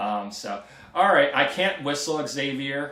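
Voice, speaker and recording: Speaking with an American accent at a fairly slow pace, a man shows ordinary pitch variation. Noticeable background noise and audible room echo are present. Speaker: antenna tech YouTuber. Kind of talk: live stream Q&A. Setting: live stream. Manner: hesitant, many ums.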